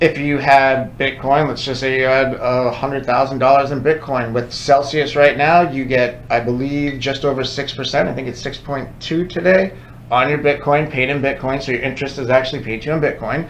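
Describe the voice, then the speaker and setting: A man with a fairly high pitch speaks at a fairly quick pace in a monotone, flat intonation with hardly any pauses, over noticeable background noise and audible room echo. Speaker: crypto podcast co-host. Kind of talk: casual educational chat. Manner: conversational, interrupts often.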